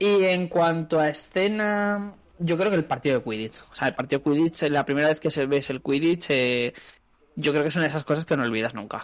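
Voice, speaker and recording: A man speaks with a fairly high pitch and ordinary pitch variation. It is a plain, everyday voice. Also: fairly quick pace. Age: middle-aged. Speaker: podcast co-host. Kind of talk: casual chat.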